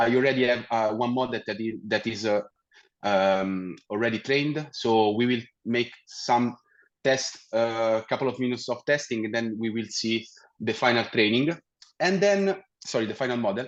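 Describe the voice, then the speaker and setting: A man speaks in an Italian accent at a moderate pace. His pitch is medium, with ordinary variation. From Italy. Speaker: technical account manager. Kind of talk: webinar presentation. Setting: virtual meetup with screen share. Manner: hesitant, many fillers and restarts.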